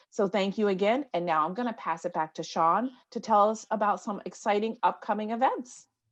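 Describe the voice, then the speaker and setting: A woman with an American accent, medium pitch and ordinary pitch variation, at a fairly quick pace with hardly any pauses against a quiet background. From New York. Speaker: conference moderator. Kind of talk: virtual conference closing remarks. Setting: video call from home office. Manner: animated.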